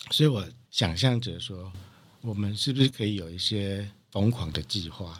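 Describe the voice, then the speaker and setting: Lively intonation and big swings in loudness at a moderate pace, on a very clean recording with a silent background. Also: man, fairly low pitch for a man. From Taiwan, Taichung. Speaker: coffee producer and importer. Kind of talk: interview. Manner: halting, many fillers.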